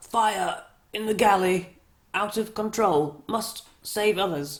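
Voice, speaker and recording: Croaky and hoarse, this put-on character voice sits at a fairly high pitch and moves at a fairly slow pace. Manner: gasping between words.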